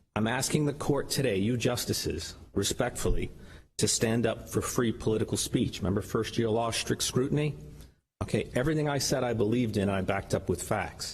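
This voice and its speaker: This man's voice is somewhat breathy, with pitch that varies in an ordinary way. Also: medium pitch for a man, fairly quick pace, very even loudness. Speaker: lawyer arguing own case in court. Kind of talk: oral argument before court. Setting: courtroom. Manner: fast.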